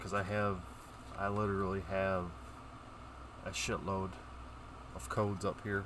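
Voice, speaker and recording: In a flat monotone, a man with a fairly low pitch speaks at a moderate pace with long, frequent pauses, the sound dry with no echo and noticeable background noise. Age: 40s. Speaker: YouTuber opening trading cards; card opening streamer. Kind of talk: casual vlog. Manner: halting. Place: home room.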